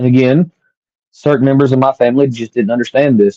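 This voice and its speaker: With a Southern accent, a man talks in a dark, mellow tone, the sound dry and close with no echo. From US South. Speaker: podcast host and author. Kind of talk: personal storytelling monologue.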